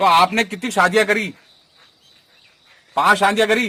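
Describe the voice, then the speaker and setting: Raising and projecting his voice, a man speaks with a high pitch and fairly even intonation. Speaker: local news reporter. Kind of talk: interview questions.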